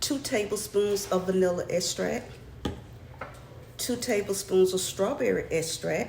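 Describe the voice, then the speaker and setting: Soft-spoken and fairly slow, a woman with an American accent talks at a medium pitch with ordinary pitch variation and long, frequent pauses. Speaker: cooking channel host. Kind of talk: cooking tutorial. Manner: chatty.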